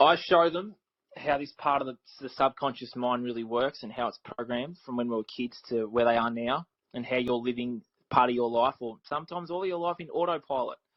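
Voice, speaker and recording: Speaking at a fairly quick pace, a man with an Australian accent keeps a medium pitch and ordinary pitch variation. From Australia, Victoria near Melbourne. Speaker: life coach for teens. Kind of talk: podcast interview.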